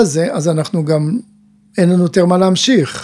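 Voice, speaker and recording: Noticeable background noise sits behind a man's voice. He has a high pitch and speaks at a moderate pace. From Israel, kibbutz. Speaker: mental coach and teacher. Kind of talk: casual chat. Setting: studio.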